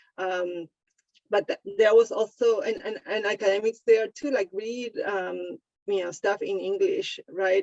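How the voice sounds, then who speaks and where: A woman with a non-native accent talks at a fairly slow pace in a medium pitch with fairly even intonation, the sound dry and close with no echo. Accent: noticeable foreign. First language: Spanish. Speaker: sociologist, book author. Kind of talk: panel discussion. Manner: halting, many fillers and repetitions.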